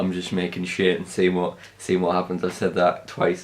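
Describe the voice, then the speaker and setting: Speaking at a moderate pace, this man has a voice pitched very deep and low. It is a man's voice throughout. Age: young. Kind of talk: casual talk to camera. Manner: rambling, hesitant.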